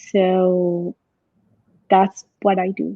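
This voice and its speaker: A woman speaks in a Spanish accent at a medium pitch. Her intonation is fairly even. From Mexico. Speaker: marriage and family therapist. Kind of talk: podcast interview.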